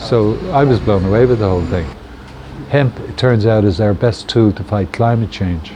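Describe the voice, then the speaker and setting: A man with a fairly low pitch and ordinary pitch variation speaks at a moderate pace amid noticeable background noise. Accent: Dublin. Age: 70s. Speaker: hemp shop owner. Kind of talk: interview. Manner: casual, hesitant with fillers.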